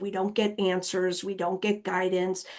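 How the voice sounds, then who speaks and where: A plain, everyday voice from a woman, medium in pitch and fairly quick in pace, against a quiet background. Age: 50s. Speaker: nonprofit director and planning presenter. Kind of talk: webinar Q&A. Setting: online webinar.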